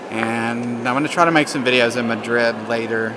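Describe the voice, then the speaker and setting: A man is speaking. Noticeable noise sits in the background. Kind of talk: casual vlog chat. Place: church. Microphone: phone near.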